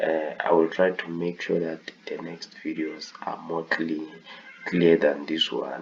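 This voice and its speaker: A man talks very slowly while noticeable background noise runs behind him. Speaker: forex trading tutor. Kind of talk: tutorial. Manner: halting.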